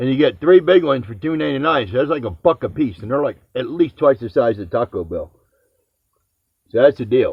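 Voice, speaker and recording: A man with an American accent talks at a fairly quick pace and medium pitch, with vocal fry. His intonation is lively and his loudness swings widely. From New Jersey / New York area. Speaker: home cooking video host. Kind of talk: casual chat.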